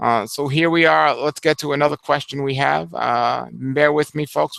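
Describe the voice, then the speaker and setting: A man talks with hardly any pauses in a dry, close sound with no echo. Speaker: raw food health show host. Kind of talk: live Q&A. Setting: live video hangout. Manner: fast.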